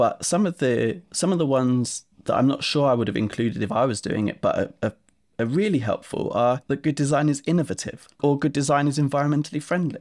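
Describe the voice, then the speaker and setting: In an Essex accent, a man with a fairly high pitch talks at a fairly quick pace with very even loudness. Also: ordinary pitch variation. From Essex, England. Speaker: software company co-founder. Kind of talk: casual interview chat.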